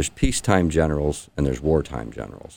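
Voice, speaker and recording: Very deep and low, this man's voice carries a Midwestern American accent. His pitch varies in an ordinary way. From Indiana, St. Joseph County. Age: 50s. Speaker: congressional candidate. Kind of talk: radio interview.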